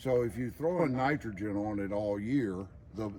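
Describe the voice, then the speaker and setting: A man with a Southern US accent speaks fairly slowly at a medium pitch. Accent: Southern US drawl. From Georgia. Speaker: estate manager. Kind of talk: casual explanation on garden tour.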